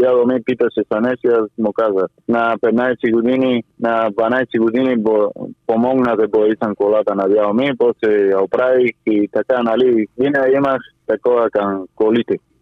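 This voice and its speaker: At medium pitch and moderate pace, a man speaks with monotone, flat intonation and very even loudness. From Cuba. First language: Spanish (speaking Bulgarian). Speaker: retro car enthusiast. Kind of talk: interview. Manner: halting.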